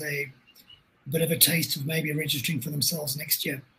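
Noticeable background noise sits behind a man with a fairly high pitch. He speaks at a fairly quick pace with fairly even intonation. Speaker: webinar moderator. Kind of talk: online webinar moderation.

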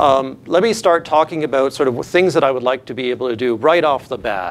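Pitch variation in this man's speech is ordinary. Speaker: candidate. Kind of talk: formal presentation. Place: classroom.

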